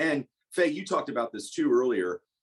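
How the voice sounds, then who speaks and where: A man at a moderate pace, dry and close with no echo, with music in the background. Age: 40s. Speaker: cannabis industry lawyer and panelist. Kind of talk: webinar panel discussion.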